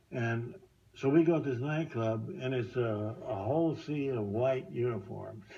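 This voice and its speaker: A man speaks at a fairly slow pace with an American accent, his pitch medium and its variation ordinary. Noticeable background noise and audible room echo are present. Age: 90s. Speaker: war veteran. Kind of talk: testimony. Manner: halting.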